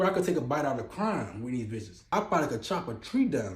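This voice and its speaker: The speaker is a man in an animated tone. His fairly quick delivery carries an audible room echo. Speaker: interviewee. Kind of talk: street interview. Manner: halting.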